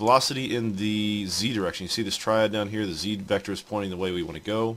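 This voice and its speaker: A fairly low-pitched man with ordinary pitch variation. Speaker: engineering instructor. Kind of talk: screen-recorded tutorial. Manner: fast; casual, hesitant with fillers.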